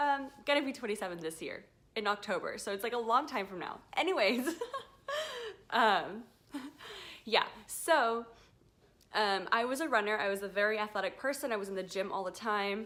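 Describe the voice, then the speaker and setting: A woman speaks in a fairly high pitch with lively intonation at a moderate pace. She leaves long, frequent pauses. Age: 20s. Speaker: vlogger. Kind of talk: casual vlog testimony. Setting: at home, indoors. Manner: unscripted, hesitant with many fillers.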